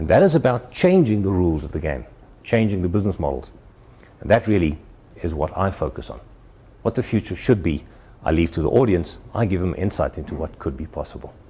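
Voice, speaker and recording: Speaking at a fairly quick pace yet with long, frequent pauses, a man with a South African accent uses a very deep, low voice with vocal fry and lively intonation. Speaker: futurist keynote speaker. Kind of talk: presentation to an audience. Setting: stage with audience at a university. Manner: animated.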